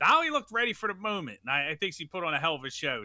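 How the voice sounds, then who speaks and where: A man speaks with an American accent. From Philadelphia. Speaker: sports talk co-panelist. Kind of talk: casual chat. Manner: halting, many fillers.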